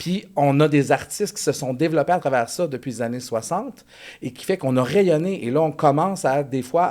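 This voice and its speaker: In a Quebec accent, a man speaks at a moderate pace with a dark, mellow tone and ordinary pitch variation, on a very clean recording with a silent background. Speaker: elementary music teacher. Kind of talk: casual chat.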